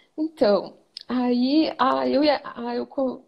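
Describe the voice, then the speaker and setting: A woman's high voice in a southern Brazilian accent, very slow pace, quiet background. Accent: gaúcho Brazilian Portuguese. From Rio Grande do Sul, Brazil. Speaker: image consultant student. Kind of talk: live stream interview.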